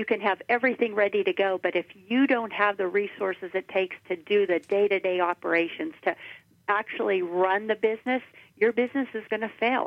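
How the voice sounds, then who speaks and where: A woman with an American accent has an unremarkable speaking voice at a medium pitch. Her pace is fairly quick and her pitch variation ordinary. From Washington County, western Pennsylvania. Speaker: government agency director. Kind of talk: radio interview.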